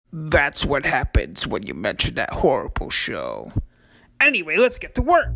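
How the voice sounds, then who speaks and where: A put-on character voice comes through at a moderate pace. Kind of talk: comedic parody dub. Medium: dub. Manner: casual, joking.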